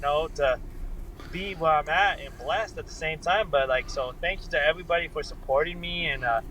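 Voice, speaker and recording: A man speaks fairly quickly with an American accent. Music plays in the background. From US, Colorado. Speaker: bare knuckle fighter. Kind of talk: casual interview.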